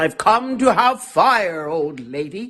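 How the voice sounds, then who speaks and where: Someone puts on a character voice at a middle pitch with very wide pitch swings. The delivery is fairly slow. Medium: read story. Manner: boastful.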